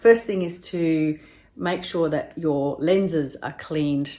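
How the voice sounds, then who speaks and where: Her voice has a very deep, low pitch and fairly even intonation. The woman speaks with an Australian accent. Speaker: video tutor. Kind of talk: tutorial.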